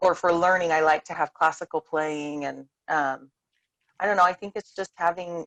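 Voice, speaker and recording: With a plain, everyday voice, a woman talks at a fairly low pitch and a moderate pace in a dry, close sound with no echo. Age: 30s. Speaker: homeschooling mother. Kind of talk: casual chat. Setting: video call.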